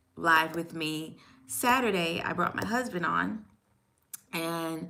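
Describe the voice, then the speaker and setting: Audible room echo surrounds a woman's fairly low voice, bright and sharp in tone, as she speaks very slowly. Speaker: YouTuber, stay-at-home mom. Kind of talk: live stream chat. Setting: at home desk, live stream. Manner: halting.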